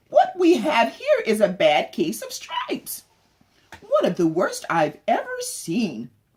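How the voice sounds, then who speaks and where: A woman puts on a character voice pitched high. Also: fairly slow pace. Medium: read story. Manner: gentle, kindly.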